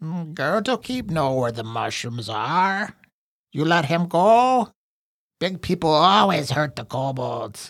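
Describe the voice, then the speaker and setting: Here a man uses a put-on character voice at a fairly high pitch. His pace is fairly slow. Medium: actual play. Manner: broken speech, talks of himself in third person; frightened, pleading, eager to bargain.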